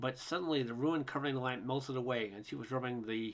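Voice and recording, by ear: Natural-voiced reading aloud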